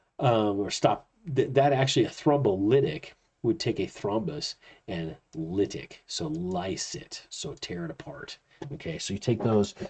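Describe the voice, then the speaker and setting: A man's fairly low voice is somewhat breathy. His pitch swings very widely and his loudness shifts in big swings. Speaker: chiropractor and college instructor. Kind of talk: lecture. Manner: fast; casual, with fillers.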